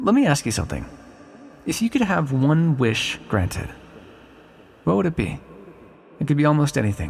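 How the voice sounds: In a put-on character voice, a man speaks at a moderate pace and fairly high pitch, with very wide pitch swings, vocal fry, a slightly husky edge and long, frequent pauses.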